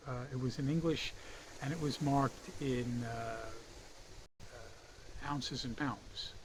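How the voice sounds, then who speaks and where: Breathing somewhat audibly, a man talks very slowly at a fairly high pitch with fairly even intonation, leaving long, frequent pauses in audible room echo. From United States. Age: 60s. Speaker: fishing hobbyist and reviewer. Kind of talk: product review. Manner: casual, with frequent fillers.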